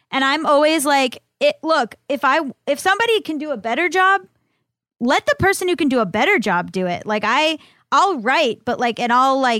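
A woman speaks with a high pitch and a bright, sharp, animated tone. The recording is very clean, with a silent background. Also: dry, close sound with no echo. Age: 30s. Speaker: author and podcaster. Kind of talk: casual chat.

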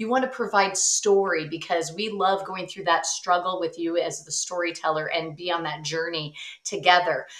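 Against noticeable background noise, a woman with a fairly low pitch speaks in an animated tone at a moderate pace, with hardly any pauses. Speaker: speaking coach and author. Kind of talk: casual interview chat. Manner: animated, expressive.

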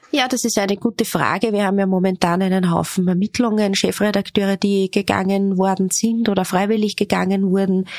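A woman with an ordinary speaking voice, medium pitch and fairly quick pace, hardly any pauses, very even loudness, and a dry, close sound with no echo. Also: fairly even intonation. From Upper Austria. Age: 30s. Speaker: magazine editor-in-chief. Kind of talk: interview.

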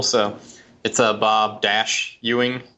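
This man speaks with an American accent. His intonation is monotone and flat. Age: 30s. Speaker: lettering artist and art director. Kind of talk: casual interview.

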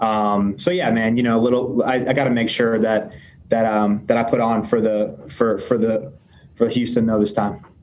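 There's audible room echo as a man talks at a moderate pace. His pitch is medium with ordinary variation, and his loudness stays very even. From Tampa, Florida. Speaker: baseball pitcher. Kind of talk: press conference. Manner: halting.

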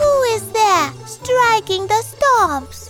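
A put-on character voice pitched extremely high, with clear music playing in the background.

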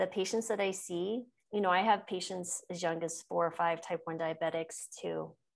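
In a normal speaking voice, a woman with an American accent talks at medium pitch and a moderate pace with fairly even intonation. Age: 50s. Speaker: physician and podcast host. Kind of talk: interview. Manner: laughs often.

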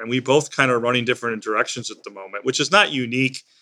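Very clean, with a silent background, this recording features a man. He has an American accent and a medium pitch. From US Midwest, Illinois. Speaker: non-profit CEO and Air Force veteran. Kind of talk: interview.

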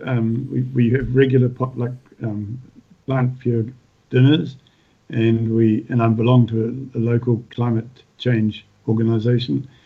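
Speaking at a fairly slow pace with a New Zealand accent, a man of medium pitch keeps a monotone, flat intonation. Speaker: retired farmer and author. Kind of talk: casual interview.

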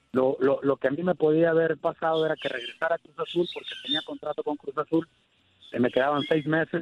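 Talking at a fairly quick pace, a man with a fairly high pitch keeps his intonation fairly even. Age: 30s. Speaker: retiring football goalkeeper. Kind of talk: interview. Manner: halting.

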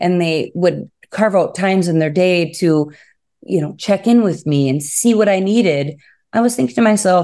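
On a very clean recording with a silent background, a woman with an Upper Peninsula Michigan accent speaks in a dark, mellow tone with lively intonation. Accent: Upper Midwest (Yooper). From Upper Peninsula of Michigan. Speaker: first-grade teacher. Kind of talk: interview.

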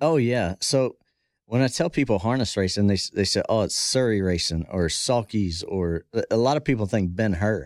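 A man with an American accent and an ordinary speaking voice talks at a moderate pace and medium pitch, with lively intonation, very even loudness and a dry, close sound with no echo on a very clean recording with a silent background. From US, south central Pennsylvania. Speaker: former bull rider and horse trainer. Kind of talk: casual podcast interview.

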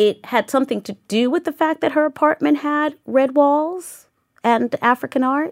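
A woman with an American accent and a high pitch talks at a moderate pace with ordinary pitch variation, in a dry, close sound with no echo. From Southeast Queens, New York City. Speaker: museum director and curator. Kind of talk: interview conversation.

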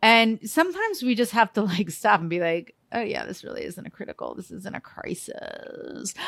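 Animated in tone, a woman keeps a moderate pace with hardly any pauses as her loudness swings widely. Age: 50s. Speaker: TV host and lifestyle expert. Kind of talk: casual chat.

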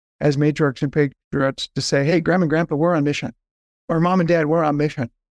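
With an American accent, a man in an unremarkable speaking voice talks at a fairly high pitch with ordinary pitch variation. The sound is dry and close with no echo, over a quiet background. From Southern California. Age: 50s. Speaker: nonprofit fundraising consultant. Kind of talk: podcast interview.

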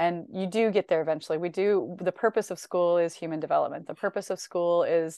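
Over a quiet background, a woman with an American accent speaks at a fairly quick pace, her fairly low pitch and dark, mellow tone kept to fairly even intonation. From US Midwest, Northern Illinois. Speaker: educator and education consultant. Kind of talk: casual interview conversation.

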